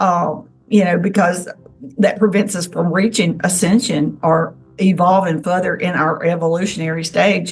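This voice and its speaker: This is a normal speaking voice at a moderate pace, with fairly even intonation. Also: woman, fairly low pitch for a woman. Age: 60s. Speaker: self-described alien contactee. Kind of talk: interview testimony.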